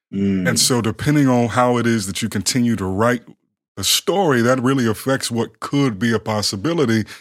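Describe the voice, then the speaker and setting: Recorded very cleanly against a silent background, a man speaks at a fairly quick pace with a medium pitch and ordinary pitch variation. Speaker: podcast co-host. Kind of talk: casual chat.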